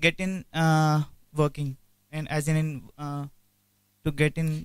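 Against a quiet background, a man with an Indian accent speaks at a fairly high pitch in a dry sound with no echo. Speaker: HR director. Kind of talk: guest lecture with Q&A. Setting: lecture hall with student audience. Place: hall. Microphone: handheld.

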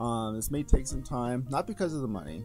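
Music can be heard behind the voice. The one talking is a man. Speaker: gamer and streamer. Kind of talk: casual talk to camera. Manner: hesitant, with stutters and pauses.

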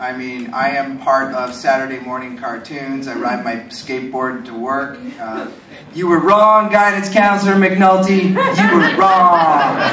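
Over light background noise and audible room echo, a man talks at a fairly slow pace with lively intonation. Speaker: voice actor panelist. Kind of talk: convention panel storytelling. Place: hall. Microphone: camera far.

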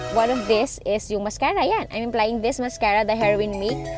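Clear music plays in the background as a woman speaks at a moderate pace. The sound is dry, with no echo. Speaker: beauty vlogger. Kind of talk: tutorial. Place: home room. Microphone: phone near.

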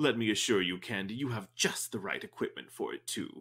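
A man puts on a character voice at a medium pitch, moving at a fairly quick pace. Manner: theatrical, flowery.

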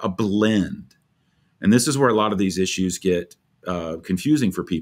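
Against a quiet background, a man keeps to a moderate pace. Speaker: pastor, podcast host. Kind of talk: podcast commentary. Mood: earnest, explanatory. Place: office.

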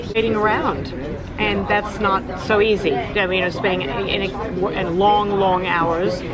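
A woman with an American accent talks at a fairly slow pace. Loud noise fills the background. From United States. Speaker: actress. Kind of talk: interview answer. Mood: relaxed, animated. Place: cafe. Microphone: phone near.

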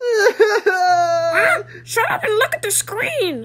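A man uses a put-on character voice with an extremely high pitch. He talks at a very slow pace. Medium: dub. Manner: snappy, irritable.

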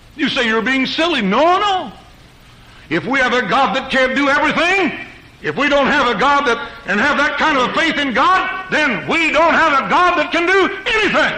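Against noticeable background noise, a man uses a raised, projected voice at an extremely high pitch, with lively intonation, very even loudness and a moderate pace. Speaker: preacher. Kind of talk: church sermon preached to a congregation. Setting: church pulpit recorded live.

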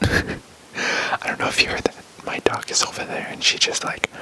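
Soft-spoken and whispering, a man talks at a moderate pace. Loud background noise fills the recording. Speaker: ASMR creator. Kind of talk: soft ASMR show-and-tell chat. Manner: soft ASMR whisper, scolding dog. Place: home room. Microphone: studio mic.

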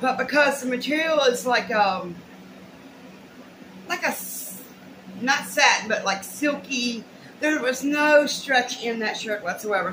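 A woman's lively intonation at a fairly slow pace, with noticeable background noise. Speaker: haul vlogger. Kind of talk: casual vlog chat. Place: home room. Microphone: webcam.

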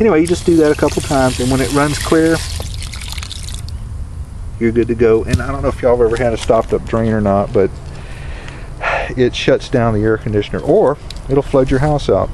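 Against clear background noise, a man speaks at a medium pitch and a moderate pace, with ordinary pitch variation and long, frequent pauses.

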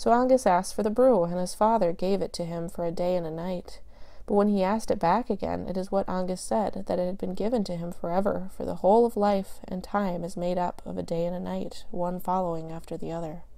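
The voice has a dark, mellow tone and ordinary pitch variation, moving at a fairly quick pace with hardly any pauses. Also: woman, medium pitch for a woman. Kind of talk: audiobook reading of Irish myth, storyteller's cadence. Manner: measured, even, narrative pacing with formal archaic phrasing.

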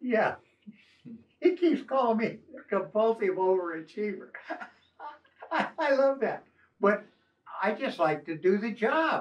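The speaker goes at a fairly slow pace with long, frequent pauses and very wide pitch swings against a quiet background. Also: man, high pitch for a man. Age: 80s+. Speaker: retired coast guard officer. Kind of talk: casual chat. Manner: halting. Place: home room.

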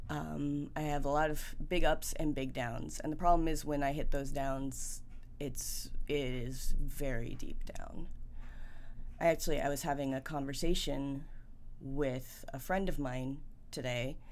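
The woman's pitch sits very deep and low. It varies about as much as usual. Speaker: vlogger. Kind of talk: casual vlog chat, personal update. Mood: reflective, candid. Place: home room.

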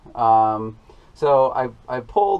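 Lively intonation from a man. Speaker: farmer vlogger. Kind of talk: casual vlog chat. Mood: mildly frustrated, explaining. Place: farm machine. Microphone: phone near.

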